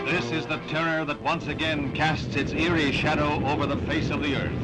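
The speech moves at a moderate pace while loud noise fills the background. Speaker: newsreel narrator. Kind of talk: newsreel narration. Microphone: old recording.

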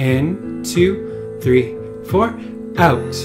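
A man's voice moves through very wide pitch swings over noticeable background noise. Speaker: breathwork guide, wellness studio founder. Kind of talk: guided breathwork instruction. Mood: calm, soothing, meditative. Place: home room.

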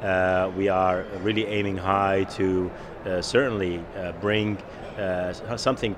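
Over noticeable background noise, a man with a very deep, low pitch speaks in fairly even intonation. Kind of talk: interview answer. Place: hall. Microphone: handheld.

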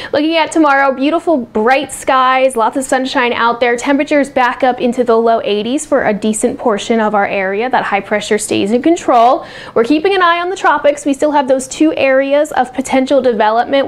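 The speaker, with an American accent, goes at a fairly quick pace with hardly any pauses and ordinary pitch variation. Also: woman. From US Northeast, South Jersey. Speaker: weather forecaster. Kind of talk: friendly bedtime weather report, casual local-TV forecast delivered straight to viewers. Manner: easygoing and conversational, with scattered filler uhs; speeds up into long run-on stretches when tracking the hurricane. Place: studio. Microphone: lapel.

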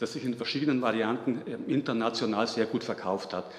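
A man speaks, and audible room echo surrounds his voice. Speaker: conference lecturer. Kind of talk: lecture. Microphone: podium.

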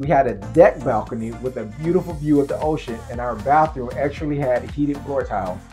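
Speaking at a fairly quick pace, a man is heard over clear music in the background. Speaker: travel vlogger. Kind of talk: travel vlog narration. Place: home room.

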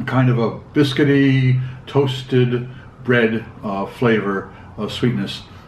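A man talks with light background noise and audible room echo around him. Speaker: beer reviewer. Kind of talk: review commentary. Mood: calm, relaxed. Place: kitchen.

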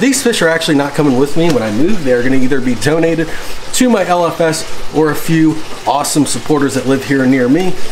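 The man talks at a fairly quick pace with ordinary pitch variation. Light background noise can be heard. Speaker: fish hobby vlogger. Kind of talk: casual vlog chat. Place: garage. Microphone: phone near.

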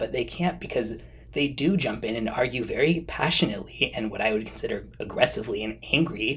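A man speaks with lively intonation. His pace is fairly quick. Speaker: fragrance reviewer. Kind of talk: casual vlog chat. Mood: earnest, mildly indignant. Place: home room.

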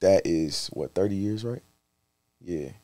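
In a quiet background, a man with an American accent speaks at a fairly low pitch. The sound is dry with no echo, and his pitch variation is ordinary. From Charlotte, North Carolina; North Carolina. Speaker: rapper; guest. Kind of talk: casual chat. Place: studio. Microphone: studio mic.

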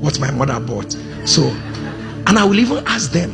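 Clear music plays in the background while a man speaks at a fairly quick pace. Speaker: preacher. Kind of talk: sermon. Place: church. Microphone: handheld.

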